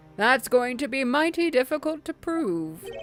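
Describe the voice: A put-on character voice that sounds female goes at a moderate pace over faint music in the background.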